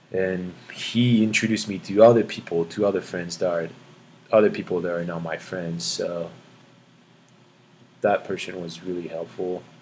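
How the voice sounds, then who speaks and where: With a French accent and a very deep, low pitch, a man speaks at a moderate pace in fairly even intonation, his loudness swinging widely between long, frequent pauses. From France, near Paris. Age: 20s. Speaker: student athlete. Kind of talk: interview. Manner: halting.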